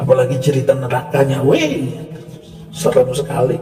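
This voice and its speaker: Fairly slow speech from a man at a medium pitch, with noticeable background noise. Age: 60s. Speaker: religious commentator. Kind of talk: polemical monologue. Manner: animated.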